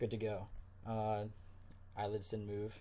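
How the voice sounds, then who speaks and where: Somewhat breathy, a man talks in a fairly low voice with a dark, mellow tone. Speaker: ASMR creator. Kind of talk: ASMR medical exam role play. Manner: soft-spoken, calm.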